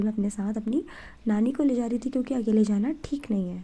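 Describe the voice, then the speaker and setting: Somewhat breathy, a woman speaks at a moderate pace in a fairly high pitch with a dark, mellow tone. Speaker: vlogger. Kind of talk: casual vlog narration.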